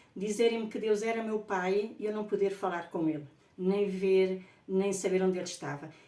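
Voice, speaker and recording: Over noticeable background noise and audible room echo, a woman speaks at medium pitch and a moderate pace with ordinary pitch variation. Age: 60s. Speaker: spiritual author. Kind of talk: personal testimony. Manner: halting.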